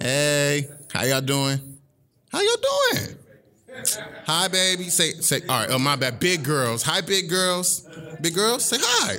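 With a playful tone and lively intonation, a man with a high-pitched voice talks at a fairly slow pace with long, frequent pauses over noticeable background noise. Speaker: spoken word poet. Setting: stage with live audience at a library showcase. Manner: playful, crowd-teasing banter with slangy asides before the poem; rhythmic, building cadence with internal rhymes and repeated refrains.

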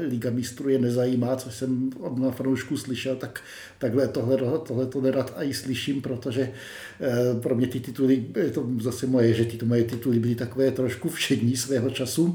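A man speaks at a medium pitch in a monotone, flat intonation. Noticeable background noise and audible room echo surround him. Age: 50s. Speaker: football fan and travel writer. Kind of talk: casual chat. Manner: halting.

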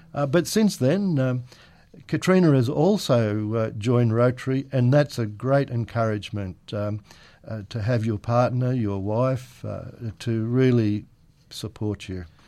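Over a quiet background, a man with an Australian accent speaks fairly slowly in a dark, mellow tone with ordinary pitch variation. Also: medium pitch for a man. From Australia, Penrith NSW. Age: 70s. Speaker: retired local businessman. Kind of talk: interview. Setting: radio studio.

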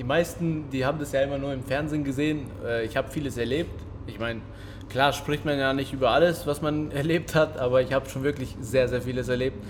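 Speaking at a fairly quick pace with fairly even intonation, a man with a fairly high pitch comes through with audible room echo. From Kosovo, moved to Germany at six. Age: 30s. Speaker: kickboxing champion and gym owner. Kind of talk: casual interview. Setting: boxing gym ring.

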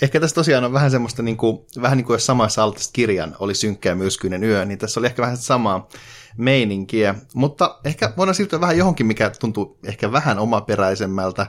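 A man with a plain, everyday voice, medium pitch and lively intonation. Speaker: podcast co-host. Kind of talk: reading a poem aloud in Finnish, translated rhymed verse. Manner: measured, rhythmic, sing-song cadence with a deliberate, slightly mock-solemn tone.

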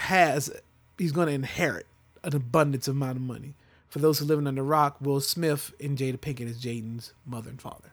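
A man with a normal speaking voice talks at a fairly quick pace and fairly high pitch. His intonation stays fairly even on a very clean recording with a silent background. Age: 30s. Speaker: podcast host. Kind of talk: casual chat.

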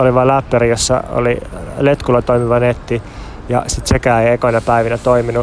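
Speaking fairly quickly at medium pitch in a monotone, flat intonation, a man is heard over noticeable background noise. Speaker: podcast co-host. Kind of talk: travel report monologue. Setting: outdoors in a city park.

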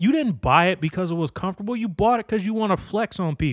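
A loud, high-pitched man with an American accent, in a very clean recording with a silent background and a dry, close sound with no echo. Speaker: podcast host. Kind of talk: casual solo rant. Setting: home basement. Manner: loud, animated.

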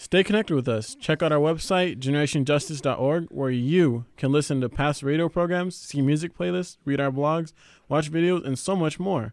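In a very clean recording with a silent background, a man with a plain, everyday voice talks at a fairly quick pace, his fairly high pitch showing ordinary variation. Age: young. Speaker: youth radio host. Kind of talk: radio presenting; roundtable discussion.

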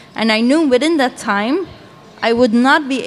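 Over noticeable background noise, a woman with a Dutch accent talks at a moderate pace. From Belgium. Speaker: animator. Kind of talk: panel discussion.

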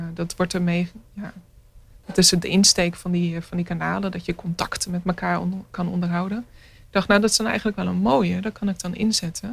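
A woman speaks at a fairly quick pace in a somewhat breathy, fairly low voice with fairly even intonation, on a very clean recording with a silent background. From Netherlands, near Rotterdam (Maassluis). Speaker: visual artist. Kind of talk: radio interview.

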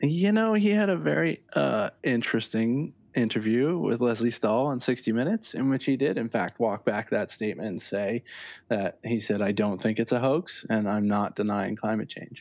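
Over a quiet background, a man with a plain, everyday voice talks at a moderate pace, his medium pitch carried by lively intonation. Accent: American. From Connecticut, US. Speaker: environmental journalist and editor. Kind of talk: interview.

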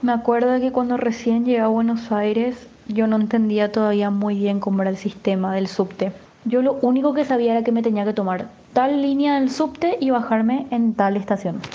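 Over noticeable background noise, a woman with a fairly high pitch speaks in an animated tone at a moderate pace, her loudness very even and her pitch variation ordinary. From Paraguay (Asunción). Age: 20s. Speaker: university student, migrant. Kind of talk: personal testimony.

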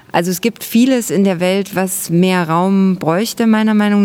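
An unremarkable speaking voice from a woman at medium pitch, fairly slow in pace, with fairly even intonation. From Saxony, near Chemnitz. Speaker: theatre maker. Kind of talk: interview. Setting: outdoors, market square.

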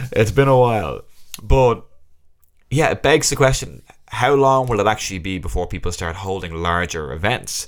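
Speaking in an Irish accent, a man with a fairly low pitch talks at a moderate pace with lively intonation. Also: very clean recording, silent background. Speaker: magician and podcast host. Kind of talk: casual solo podcast monologue. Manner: laughs often while talking.

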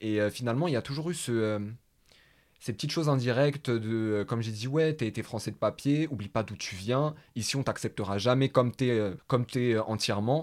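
A man talks at a moderate pace and medium pitch with ordinary pitch variation, in a plain, everyday voice. The recording is very clean, with a silent background. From Paris, France. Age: 20s. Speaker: podcast host. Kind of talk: casual conversation.

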